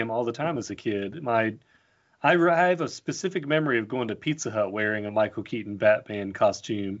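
With an ordinary speaking voice, a man of medium pitch talks at a moderate pace with lively intonation. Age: 30s. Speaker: artist and illustrator. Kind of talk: casual chat.

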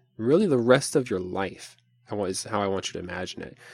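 A man's fairly low-pitched voice, a plain, everyday voice. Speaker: podcast host and meditation teacher. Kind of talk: guided meditation; solo podcast talk. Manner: slow, calm, soothing.

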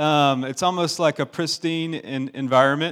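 This man has an American accent and a fairly high pitch. His pitch variation is ordinary, and the recording is very clean with a silent background. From US South, Augusta, Georgia. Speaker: pastor. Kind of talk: sermon.

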